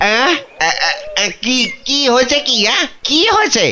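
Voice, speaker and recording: A cartoonish character voice comes through at a high pitch. The pace is moderate, with clear background noise behind it. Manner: flustered, gullible.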